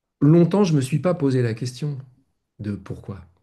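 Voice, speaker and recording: Somewhat breathy with a dark, mellow tone, a man talks at a fairly slow pace with ordinary pitch variation. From France. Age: 60s. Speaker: spiritual teacher. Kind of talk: casual chat. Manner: halting.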